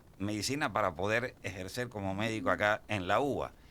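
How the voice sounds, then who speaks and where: The man's tone is bright and sharp, his pace moderate and his pitch variation ordinary. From Cuba. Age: 60s. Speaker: pain medicine doctor. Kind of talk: radio interview. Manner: halting, repetitive fillers.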